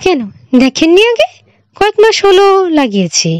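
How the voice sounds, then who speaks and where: Squeaky and put-on, the character voice swings very widely in pitch at a fairly slow pace, with a dry, close sound and no echo. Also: woman, extremely high pitch for a woman. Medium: read story. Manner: stern, grave.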